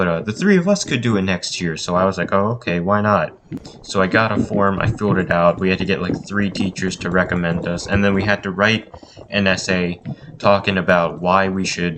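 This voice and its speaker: A man's very deep, low voice, monotone and flat, at a fairly quick pace amid noticeable background noise. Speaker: gaming YouTuber. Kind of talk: voice-over commentary storytelling. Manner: stuttering; casual, filler-heavy.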